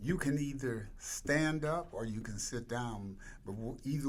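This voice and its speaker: A man talks fairly slowly, his voice carrying audible room echo. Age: 80s+. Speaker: nonprofit founder and CEO. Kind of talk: interview.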